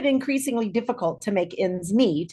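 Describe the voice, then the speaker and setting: The intonation is lively, and the pace fairly quick. It is an unremarkable speaking voice with an American accent. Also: woman. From Kansas. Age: 60s. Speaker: social worker. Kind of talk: personal testimony. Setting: video call.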